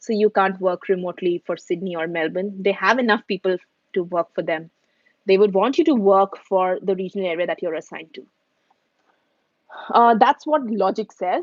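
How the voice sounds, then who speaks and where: This speaker has an Indian accent and talks at a moderate pace. There are long, frequent pauses, and the pitch varies in an ordinary way. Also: woman, medium pitch for a woman. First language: Hindi. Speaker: YouTuber answering viewer questions. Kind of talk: live stream Q&A. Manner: casual, with many fillers and restarts.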